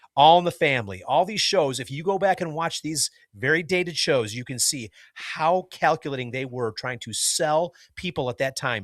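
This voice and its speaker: On a very clean recording with a silent background, a man with an ordinary speaking voice talks at a fairly quick pace and with lively intonation. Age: 50s. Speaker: podcast co-host. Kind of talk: casual chat.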